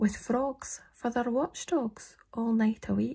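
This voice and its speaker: Against a quiet background, a woman with a Scottish accent speaks at a very slow pace. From Scotland. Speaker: poetry reader. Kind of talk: poetry reading. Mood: calm, slightly eerie. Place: home room. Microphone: phone near.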